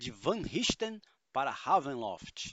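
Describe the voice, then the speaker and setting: A man drags out his words at a very slow pace, his intonation lively. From São Paulo state, Brazil. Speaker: tabletop RPG podcast co-host and game master. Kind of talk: casual chat. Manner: animated.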